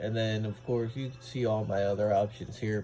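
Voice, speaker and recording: A man speaks at a medium pitch in a dark, mellow tone. His voice is somewhat breathy, and his pace is moderate. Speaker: gaming youtuber. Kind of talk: tutorial. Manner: casual, hesitant with fillers.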